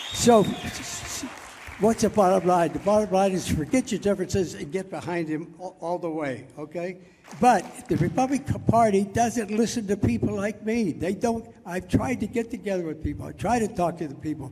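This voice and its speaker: Lively intonation in an American accent at a moderate pace, over noticeable background noise. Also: man, high pitch for a man. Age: 80s+. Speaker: war veteran. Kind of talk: political speech to a crowd. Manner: passionate.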